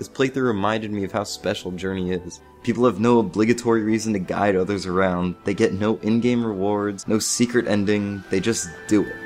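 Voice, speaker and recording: A man's fairly low voice at a fairly quick pace with hardly any pauses, music playing in the background. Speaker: video game reviewer. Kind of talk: game review narration.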